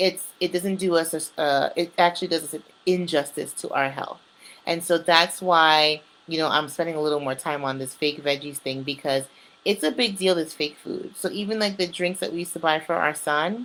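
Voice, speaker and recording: A woman with a normal speaking voice talks at a fairly quick pace in an American accent, her fairly low pitch moving with ordinary variation. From New York. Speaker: community presenter. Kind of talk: informal talk. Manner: casual.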